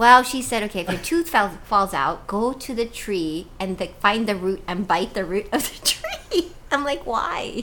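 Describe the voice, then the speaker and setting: Noticeable background noise sits behind a woman speaking at a fairly slow pace. Her fairly high voice makes very wide pitch swings. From Hawaii, raised from age ten; born in Cebu, Philippines. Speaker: author and TV weather presenter. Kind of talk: casual interview. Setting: podcast studio.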